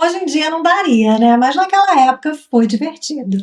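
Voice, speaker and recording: A woman speaks with a Brazilian accent. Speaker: travel vlogger. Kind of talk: casual chat.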